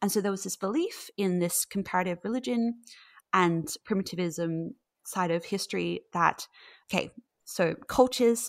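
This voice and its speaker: At a fairly slow pace, a woman with a medium-pitched voice is heard in a dry, close sound with no echo on a very clean recording against a silent background. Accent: Australian. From Australia. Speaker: mythology researcher. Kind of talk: interview conversation.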